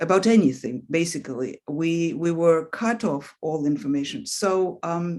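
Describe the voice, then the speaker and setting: A woman with a Russian accent speaks at a fairly slow pace in a very deep, low voice with a dark, mellow tone and ordinary pitch variation. The recording is very clean, with a silent background. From Russia, Leningrad. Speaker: author. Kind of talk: interview. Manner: hesitant, with fillers.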